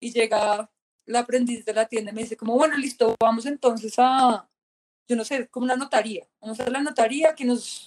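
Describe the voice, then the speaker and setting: A woman speaks at a high pitch and a moderate pace. Her intonation is fairly even, and the sound is dry and close with no echo. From Colombia. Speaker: tattoo artist and painter. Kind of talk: casual interview chat.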